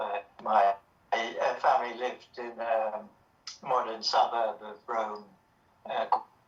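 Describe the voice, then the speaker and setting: Over music in the background, a man with a British accent speaks at medium pitch at a very slow pace, with fairly even intonation and long, frequent pauses. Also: big swings in loudness. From England. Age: 60s. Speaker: author. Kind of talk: interview. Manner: halting.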